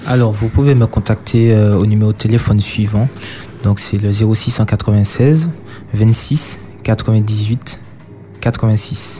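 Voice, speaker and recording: Speech comes at a very slow pace with long, frequent pauses, very even loudness and fairly even intonation, over noticeable background noise. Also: man, fairly low pitch for a man. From Martinique. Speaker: mobile hairdresser. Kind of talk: radio interview. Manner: halting.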